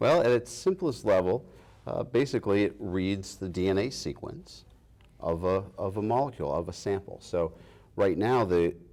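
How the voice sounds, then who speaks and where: A man with a Boston accent speaks in a fairly low, dark, mellow voice. His intonation is lively and his pace moderate. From Massachusetts. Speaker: biotech company founder and president. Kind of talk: interview. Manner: hesitant, many fillers and restarts.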